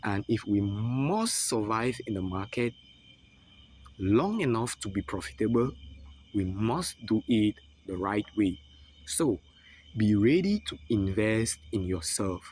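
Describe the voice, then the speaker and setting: A man with a non-native accent speaks very slowly at a fairly low pitch, using ordinary pitch variation and long, frequent pauses. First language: not English. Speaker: forex trading mentor. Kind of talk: online lesson with sales pitch.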